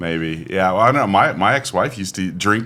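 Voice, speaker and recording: A man speaks over noticeable background noise. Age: 40s. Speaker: podcast host. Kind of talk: casual chat.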